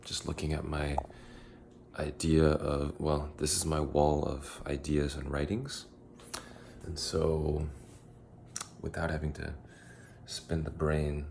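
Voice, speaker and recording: In an American accent, a man speaks quietly and very slowly in a very deep, low pitch, his intonation monotone and flat, with long, frequent pauses. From United States. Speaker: vlogger. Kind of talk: casual vlog monologue. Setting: at home in apartment. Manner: halting, many fillers.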